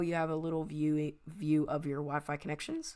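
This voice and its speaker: Very deep and low, a woman's voice comes through a very clean recording with a silent background. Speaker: tech YouTuber. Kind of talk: software review tutorial. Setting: screen recording. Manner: halting, many fillers.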